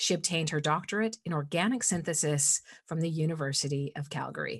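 Her pitch is fairly low, and she uses an unremarkable speaking voice. The woman talks at a moderate pace with ordinary pitch variation. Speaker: podcast host. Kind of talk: scripted intro then interview.

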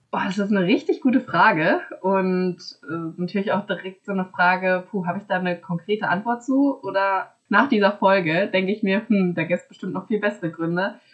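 Here a woman talks at a fairly quick pace in an unremarkable speaking voice. Her pitch is medium, with ordinary variation. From small town in Germany. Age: 20s. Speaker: master's student. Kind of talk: casual interview conversation.

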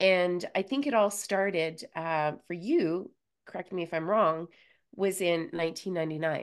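A woman with a plain, everyday voice at a moderate pace, quiet background. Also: fairly low pitch for a woman, ordinary pitch variation. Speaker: podcast host. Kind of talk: scripted intro then interview chat.

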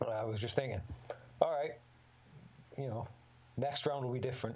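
Somewhat breathy speech at a fairly quick pace, with long, frequent pauses, fairly even intonation and audible room echo. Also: man. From northern England, Middlesbrough. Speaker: MMA fighter. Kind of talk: casual chat.

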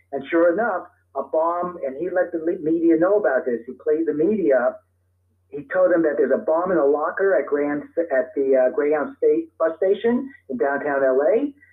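Here is a man with a plain, everyday voice and an American accent. He talks at a moderate pace, fairly high in pitch, with lively intonation. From US Northeast (Brooklyn, New York). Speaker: author and terrorism expert. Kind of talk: interview.

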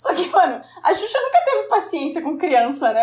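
A woman is speaking. She goes at a fairly quick pace. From Brazil, interior of Paraná (Guarapuava). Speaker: podcaster, guest. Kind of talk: casual chat.

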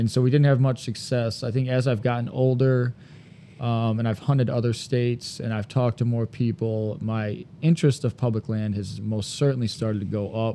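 Speaking with a Michigan accent, a man keeps a medium pitch and fairly even intonation. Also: moderate pace. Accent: US Midwest (Michigan). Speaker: podcast co-host, deer hunter. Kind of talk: casual chat.

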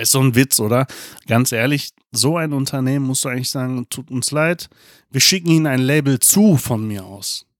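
In a very clean recording with a silent background, a man speaks at a medium pitch with ordinary pitch variation in a normal speaking voice. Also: moderate pace, dry, close sound with no echo. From Germany. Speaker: podcast co-host. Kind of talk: casual chat.

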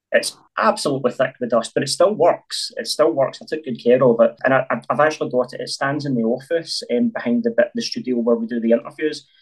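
At a very fast pace, a man speaks with a Glaswegian accent. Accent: Glaswegian Scottish. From Scotland, North Glasgow. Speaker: filmmaker. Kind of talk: interview.

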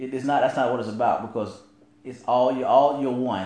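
At a fairly quick pace, a man with a Southern US accent talks at medium pitch, with audible room echo. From rural US South. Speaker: podcast co-host. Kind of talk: casual chat. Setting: live stream.

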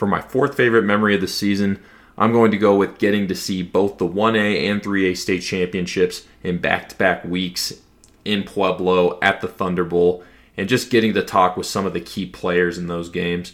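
Very deep and low, a man's voice carries an American accent and fairly even intonation. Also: moderate pace, very clean recording, silent background. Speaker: high school football podcast contributor. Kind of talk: casual podcast monologue.

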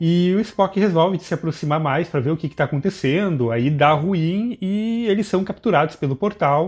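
Against a quiet background, a man with a high pitch talks with hardly any pauses and ordinary pitch variation. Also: moderate pace. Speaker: podcast host. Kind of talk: casual chat.

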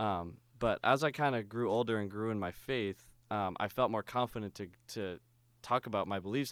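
A man with an unremarkable speaking voice at a fairly low pitch, fairly even intonation and a fairly quick pace, dry and close with no echo on a very clean recording with a silent background. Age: 20s. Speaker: youth minister and drummer. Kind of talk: casual chat.

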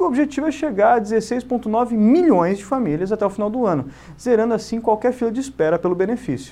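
Lively intonation rides on a dark, mellow tone delivered at a moderate pace. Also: man. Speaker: bank manager. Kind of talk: scripted narration. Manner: formal.

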